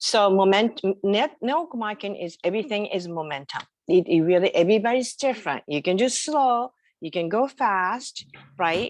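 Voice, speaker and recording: Over a quiet background, a woman with a strong Japanese accent talks at a moderate pace. Her medium-pitched voice has lively intonation. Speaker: entrepreneur. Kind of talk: interview. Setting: video call.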